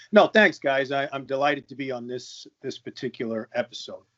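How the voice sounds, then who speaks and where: At a moderate pace, a man with a Long Island accent talks in a fairly high voice. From US Northeast, Long Island. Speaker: podcast guest. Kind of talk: casual chat.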